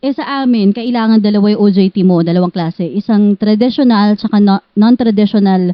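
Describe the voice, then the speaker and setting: A woman's ordinary speaking voice, medium in pitch, at a moderate pace with ordinary pitch variation. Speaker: journalist. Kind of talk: interview.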